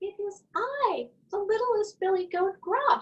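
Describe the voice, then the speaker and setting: A woman does a squeaky, put-on character voice at an extremely high pitch and a fairly slow pace. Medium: read story.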